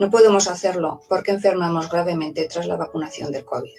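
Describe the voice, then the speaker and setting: A normal speaking voice from a woman, medium in pitch, with ordinary pitch variation and a moderate pace. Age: 60s. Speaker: teacher, vaccine injury testimony. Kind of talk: testimony then reading aloud a statement.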